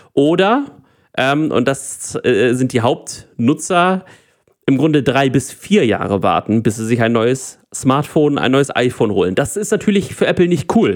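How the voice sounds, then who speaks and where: A man's fairly slow speech with very wide pitch swings, in a very clean recording with a silent background. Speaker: tech podcast co-host. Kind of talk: casual chat.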